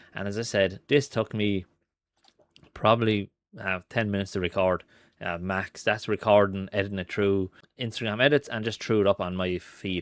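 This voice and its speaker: A man with a strong Irish accent, fairly low-pitched, at a moderate pace with fairly even intonation, in a dry sound with no echo and a quiet background. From Ireland. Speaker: marketing and AI content creator; AI content creator. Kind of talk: screen-recorded tutorial; screen-share tutorial. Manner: casual with frequent fillers (um, uh).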